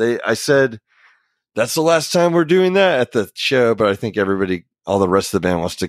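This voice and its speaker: In a very clean recording with a silent background and a dry, close sound with no echo, a man with an American accent talks very fast, his pitch swinging very widely. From US South, Oklahoma (Ponca City). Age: 30s. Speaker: rock band vocalist. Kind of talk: casual interview chat. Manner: laid-back, laughs often.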